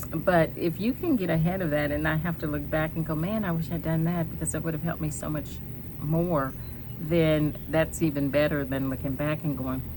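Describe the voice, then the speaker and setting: Soft-spoken, the voice keeps a moderate pace and fairly even intonation, with audible room echo and noticeable background noise. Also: woman. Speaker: cancer survivor vlogger. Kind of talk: personal vlog. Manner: soft-spoken, hesitant with many ums.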